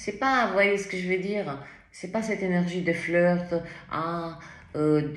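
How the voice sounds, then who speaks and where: Someone talks at a very slow pace amid noticeable background noise and audible room echo. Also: woman. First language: not French (speaking French). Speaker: tarot reader. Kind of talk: tarot reading. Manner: animated, with many fillers.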